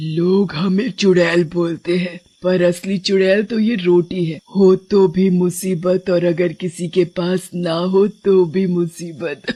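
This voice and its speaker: This is a cartoonish character voice at a middle pitch. It moves at a fairly slow pace with hardly any pauses. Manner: cackling, taunting.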